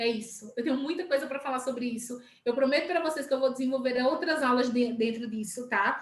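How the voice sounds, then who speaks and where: Amid audible room echo, a woman with a high pitch and ordinary pitch variation talks at a fairly quick pace with hardly any pauses. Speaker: sales team leader. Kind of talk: live stream talk. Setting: live video stream.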